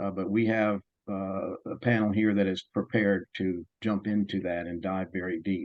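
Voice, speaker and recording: This man speaks at a moderate pace with a Southern US accent. His pitch is fairly low and his intonation is flat and monotone. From US South. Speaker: panel moderator, development expert. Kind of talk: panel moderation.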